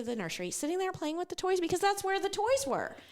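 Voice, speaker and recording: Loud and animated, a woman talks at a very fast pace over noticeable background noise. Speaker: ministry worker and mom sharing testimony. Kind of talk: testimony.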